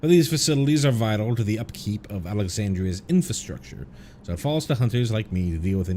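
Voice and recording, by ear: The speaker is reading aloud in a natural voice. The intonation is lively.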